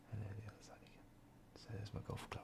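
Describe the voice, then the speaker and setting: A man's fairly low, dark, mellow voice, relaxed in tone and edged with vocal fry. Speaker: ASMR creator. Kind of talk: ASMR crafting video. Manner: soft-spoken, relaxed.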